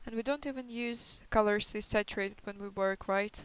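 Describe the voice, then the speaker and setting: A woman speaks at medium pitch with a non-native accent. Her pace is moderate and her intonation fairly even. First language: not English. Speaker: concept artist. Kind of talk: tutorial. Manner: hesitant, many fillers. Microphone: poor microphone quality.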